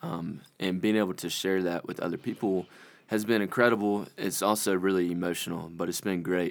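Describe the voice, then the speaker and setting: A man with a very deep, low voice and an American accent talks at a fairly quick pace. His intonation stays fairly even, and the recording is very clean with a silent background. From South Carolina, Conway. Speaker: summer mission intern. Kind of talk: casual interview. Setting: studio.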